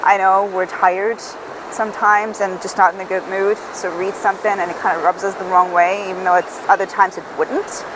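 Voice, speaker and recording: Noticeable background noise sits behind a woman speaking at a medium pitch and a moderate pace. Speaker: book reviewer. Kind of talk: casual book review monologue. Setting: outdoors on a beach.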